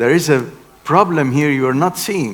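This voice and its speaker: Noticeable background noise sits behind this voice. A man with a fairly high pitch speaks at a moderate pace. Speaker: engineering keynote speaker. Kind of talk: lecture.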